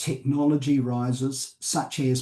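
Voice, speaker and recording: A man with a New Zealand accent speaks at a very slow pace, sounding somewhat breathy. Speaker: company director and board advisor. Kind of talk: panel discussion. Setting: conference panel. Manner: halting with fillers.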